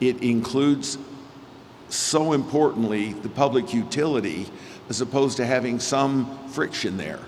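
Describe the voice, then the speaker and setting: Noticeable background noise sits behind this man. He speaks at medium pitch and a moderate pace. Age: 60s. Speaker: real estate developer. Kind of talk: speech at a gala.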